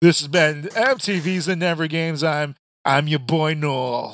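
A man speaks in a put-on character voice. It sits fairly high in pitch and moves at a fairly slow pace. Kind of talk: polished broadcast announcer. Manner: energetic, practiced.

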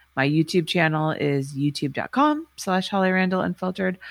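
A woman with an American accent and an unremarkable speaking voice talks at a fairly quick pace, her pitch fairly low with ordinary variation. The recording is very clean with a silent background and a dry, close sound with no echo. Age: 40s. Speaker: adult film director and podcaster. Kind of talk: interview.

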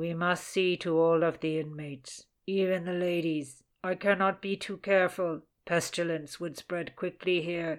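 A put-on character voice at middle pitch moves at a moderate pace with monotone, flat intonation, in a very clean recording with a silent background. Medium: read story. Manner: solemn, droning.

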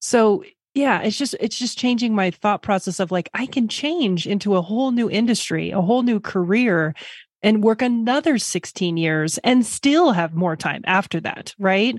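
With a normal speaking voice, a woman talks at a moderate pace, fairly high in pitch with lively intonation, on a very clean recording with a silent background. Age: 40s. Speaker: finance professional changing careers. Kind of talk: interview.

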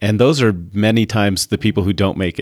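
A man with an American accent speaks at a moderate pace in a plain, everyday voice, his fairly low pitch paired with fairly even intonation on a very clean recording with a silent background. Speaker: magazine publisher. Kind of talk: casual interview.

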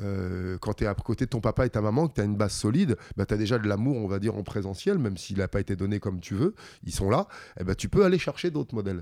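A man speaks at a very fast pace with a fairly low pitch and ordinary pitch variation, his tone dark and mellow. The sound is dry and close with no echo, on a very clean recording with a silent background. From France, Metz area (Lorraine). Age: 50s. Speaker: combat sports fighter. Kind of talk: interview.

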